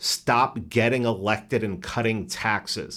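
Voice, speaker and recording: The speaker talks at a fairly slow pace with a New York accent. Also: man. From New York City, the Bronx. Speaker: podcaster. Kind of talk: casual chat. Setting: studio.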